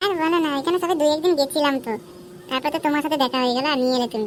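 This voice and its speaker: A woman puts on a cartoonish character voice with a high pitch. She speaks at a very fast pace with very even loudness. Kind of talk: adult comedy cartoon voice. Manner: blunt, swears casually.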